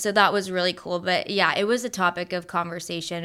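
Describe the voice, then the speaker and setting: A woman of medium pitch talks at a moderate pace with fairly even intonation and an unremarkable speaking voice. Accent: American. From Tampa, Florida, US. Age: 20s. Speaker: childhood cancer survivor. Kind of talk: interview.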